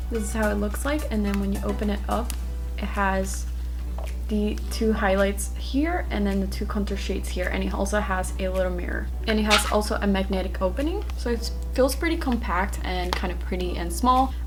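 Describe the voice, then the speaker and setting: Against noticeable background noise, a woman speaks in a flat monotone at a very deep, low pitch. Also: moderate pace. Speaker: beauty YouTuber. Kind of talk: makeup unboxing review talking to camera. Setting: hotel room at night. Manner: whispered, quiet.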